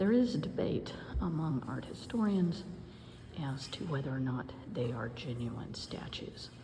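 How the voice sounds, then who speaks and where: Whispering and soft-spoken, a woman talks at a fairly slow pace. Noticeable background noise and audible room echo fill the recording. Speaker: historian. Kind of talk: educational video tour. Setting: museum. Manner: whispering softly; hesitant with many fillers.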